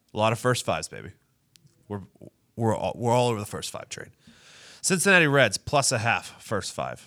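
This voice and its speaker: With an animated tone that is bright and sharp, a man speaks at a fairly quick pace and medium pitch, using vocal fry, very wide pitch swings, big swings in loudness and long, frequent pauses. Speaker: sports betting podcast host. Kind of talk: casual banter, betting picks. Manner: animated, joking, profane.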